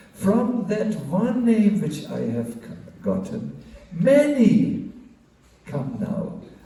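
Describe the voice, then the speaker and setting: A man talks at a very slow pace. Audible room echo and noticeable background noise are present. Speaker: monk giving a spiritual class. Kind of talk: religious lecture. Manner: halting, many fillers.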